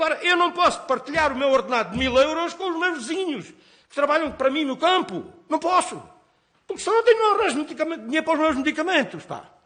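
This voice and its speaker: A man talks at a very fast pace with an extremely high pitch. His raised, projected voice has a bright, sharp tone. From Portugal, Alentejo. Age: 60s. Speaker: nurse and farmer. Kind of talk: parliamentary hearing testimony. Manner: emotional, halting.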